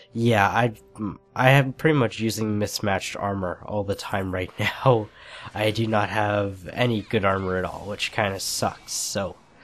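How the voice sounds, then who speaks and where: Over music in the background, a man with a fairly low pitch speaks at a fairly slow pace with fairly even intonation. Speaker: gaming commentator. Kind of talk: gameplay commentary. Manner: casual.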